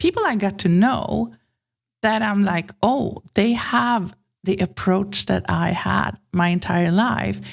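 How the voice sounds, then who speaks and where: Very slowly and at a very even loudness, a woman speaks with a Swedish accent in a very clean recording with a silent background. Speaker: branding consultant. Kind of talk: podcast interview.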